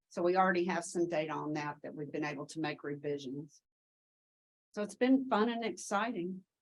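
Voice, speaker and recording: A woman at a medium pitch, with a Tennessee accent. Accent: Southern US (Tennessee). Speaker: education researcher. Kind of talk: conference Q&A answer.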